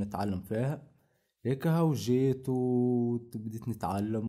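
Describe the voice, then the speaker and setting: In a very clean recording with a silent background, a man with a Tunisian accent speaks in a dark, mellow tone at medium pitch with ordinary pitch variation. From northwest Tunisia, Ain Draham. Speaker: carpentry worker. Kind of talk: interview testimony. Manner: halting.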